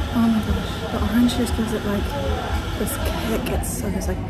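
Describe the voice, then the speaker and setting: Clear music sits behind a woman who talks at a fairly quick pace. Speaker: travel vlogger. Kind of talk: casual vlog chat. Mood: delighted, playful. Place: cafe. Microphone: camera far.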